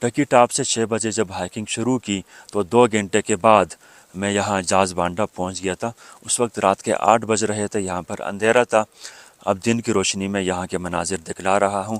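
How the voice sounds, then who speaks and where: A man speaks in a normal speaking voice, fairly low in pitch. His intonation is fairly even, and the sound is dry and close with no echo. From Pakistan, Karachi. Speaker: travel vlogger. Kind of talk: travel vlog narration. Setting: outdoors.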